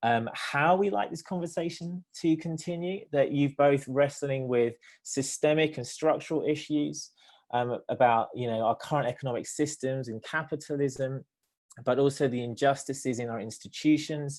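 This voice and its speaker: A man with a British accent and a fairly high pitch, against a quiet background. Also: ordinary pitch variation, moderate pace. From Britain. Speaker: theologian and nonprofit director. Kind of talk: panel discussion response. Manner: hesitant, many fillers.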